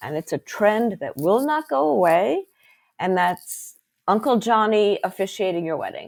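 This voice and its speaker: Animated in tone, a woman with a medium pitch speaks at a fairly slow pace with very wide pitch swings in a very clean recording with a silent background. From Belgium, Brussels. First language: French. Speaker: wedding officiant. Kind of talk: podcast interview.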